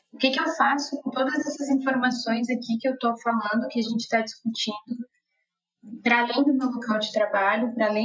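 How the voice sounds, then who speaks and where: A woman with a high pitch talks at a fairly quick pace, her intonation fairly even. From Brazil, interior of Rio Grande do Sul. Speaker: nutritionist. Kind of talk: casual chat.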